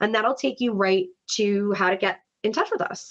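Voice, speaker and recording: With an American accent, a woman talks at a moderate pace and a medium pitch. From New York. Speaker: webinar host, brand events executive. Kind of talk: webinar presentation. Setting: online webinar. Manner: animated.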